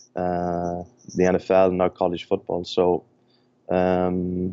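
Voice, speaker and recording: Very deep, low-pitched man in an Irish accent. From Ireland. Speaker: sports performance director. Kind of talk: podcast interview. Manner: hesitant, many fillers.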